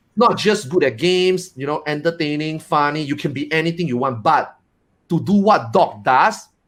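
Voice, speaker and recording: Lively intonation marks this man's fairly high voice. He keeps a moderate pace. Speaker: streamer. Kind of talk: casual panel chat. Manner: loud; expressive.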